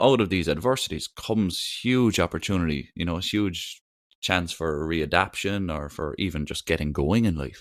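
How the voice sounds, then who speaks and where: On a very clean recording with a silent background, a man with an Irish accent speaks at a moderate pace in a very deep, low pitch. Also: ordinary pitch variation. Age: 20s. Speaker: podcast host. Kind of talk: podcast interview, casual chat.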